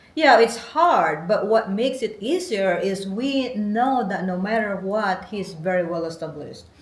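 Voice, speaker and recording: With lively intonation and hardly any pauses, a woman talks at a moderate pace and medium pitch against noticeable background noise. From Philippines. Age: 40s. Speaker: interviewee, host's wife. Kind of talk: casual interview.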